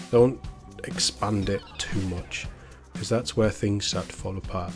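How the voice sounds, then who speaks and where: Over music in the background, a man talks at a moderate pace in a fairly low pitch. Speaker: YouTube news and entertainment commentator. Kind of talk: casual news commentary to camera.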